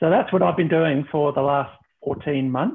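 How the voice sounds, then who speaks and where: A man speaks at a fairly high pitch and a moderate pace. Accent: Australian. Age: 60s. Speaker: former reality TV contestant. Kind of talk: casual chat. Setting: video call. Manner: halting.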